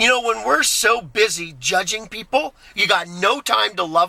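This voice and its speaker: In a raised, projected voice, a man talks with lively intonation and an animated tone. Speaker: vlogger. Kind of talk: casual vlog monologue. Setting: in a car. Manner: loud.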